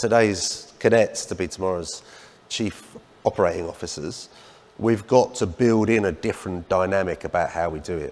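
Speaking at a moderate pace, a man uses a fairly low pitch with ordinary pitch variation. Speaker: transport workers' union leader; panellist. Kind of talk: panel discussion. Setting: stage with audience. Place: stage. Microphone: lapel.

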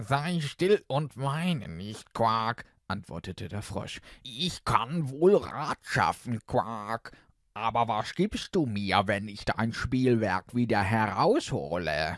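A man speaks very slowly in a playful tone at a medium pitch, his pitch swinging very widely, with a dry, close sound and no echo on a very clean recording with a silent background. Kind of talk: character voice of the frog within the fairy tale. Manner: croaky, playful, repeating 'Quark' between phrases.

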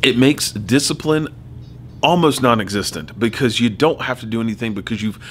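Light background noise accompanies a man's speech. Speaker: teacher. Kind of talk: tutorial. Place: home room.

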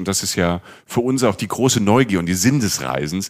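The recording is very clean, with a silent background. A man with an unremarkable speaking voice talks at a moderate pace in a fairly low pitch with ordinary pitch variation. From Palatinate, Germany. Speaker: travel podcast co-host and journalist. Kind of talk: casual chat.

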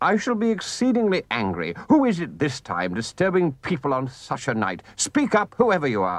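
Putting on a gruff character voice, a man talks at a moderate pace with hardly any pauses and a fairly high pitch. His pitch swings very widely over a quiet background. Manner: gruff, suspicious.

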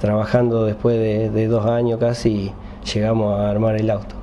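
A man's monotone, flat delivery at a moderate pace, with light background noise. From Argentina. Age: 30s. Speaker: racing driver. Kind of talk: interview. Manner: halting. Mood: calm, pleased.

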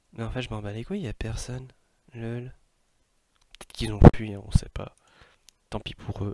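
Pausing long and often, a man of medium pitch talks at a moderate pace with fairly even intonation and big swings in loudness. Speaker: streamer. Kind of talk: casual gaming stream talk.

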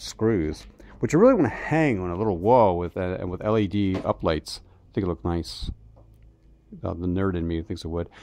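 An ordinary speaking voice at a fairly quick pace, dry with no echo. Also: man. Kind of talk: casual vlog chat. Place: garage. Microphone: phone near.

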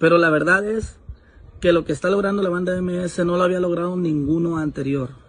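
Over light background noise, a man with a high pitch speaks at a fairly quick pace with ordinary pitch variation. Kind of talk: casual vlog chat, opinion. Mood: proud, earnest. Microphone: phone near.

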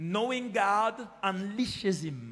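A man speaking at a very slow pace, faint music in the background. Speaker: pastor. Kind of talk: sermon. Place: church. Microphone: handheld.

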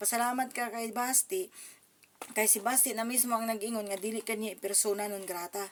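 Speaking at a fairly quick pace, a woman with fairly high pitch shows ordinary pitch variation. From Davao, Mindanao, Philippines. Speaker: political commentary vlogger. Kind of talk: political commentary vlog. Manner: animated.

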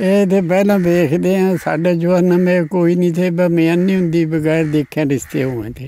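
Recorded with a dry sound and no echo, a man speaks in a high voice with ordinary pitch variation. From East Punjab, India. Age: 80s+. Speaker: partition survivor; interviewee. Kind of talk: oral history interview. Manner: halting. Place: open country. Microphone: handheld.

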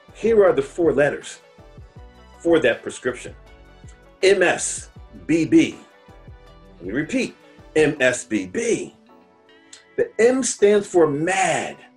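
Very slow speech broken by long, frequent pauses over faint background music. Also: man. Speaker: motivational speaker. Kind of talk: motivational speech to camera. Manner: upbeat, energetic, direct. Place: home room.

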